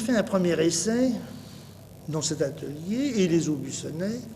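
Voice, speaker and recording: A high-pitched male voice with lively intonation and audible room echo. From Paris, France. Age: 60s. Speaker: painter and tapestry designer. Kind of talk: interview. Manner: halting, many hesitations.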